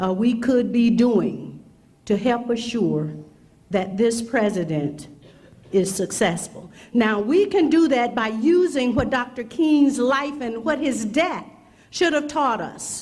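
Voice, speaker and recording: Through audible room echo, a woman speaks very slowly with very wide pitch swings. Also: fairly high pitch for a woman. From Mississippi. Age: 60s. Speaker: prosecutor, keynote speaker. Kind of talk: speech.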